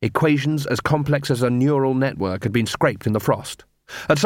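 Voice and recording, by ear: A quiet backdrop behind someone reading aloud naturally.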